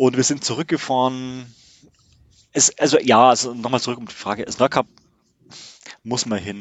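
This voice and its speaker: Speaking at a moderate pace with a medium pitch, a man leaves long, frequent pauses, his loudness swinging widely while his intonation stays fairly even. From Bavaria, Regensburg. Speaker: camper van traveller. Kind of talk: casual chat. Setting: in his motorhome. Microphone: good sound in motorhome.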